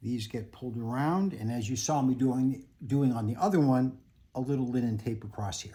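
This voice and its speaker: This man has a medium pitch, ordinary pitch variation and a dark, mellow tone. He sounds somewhat breathy and talks at a moderate pace. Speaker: picture framer. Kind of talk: tutorial.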